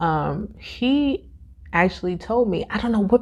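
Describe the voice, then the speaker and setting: A woman speaks with a dark, mellow tone and vocal fry. Her pitch moves in very wide swings. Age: 20s. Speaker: podcast host. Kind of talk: casual talk to camera.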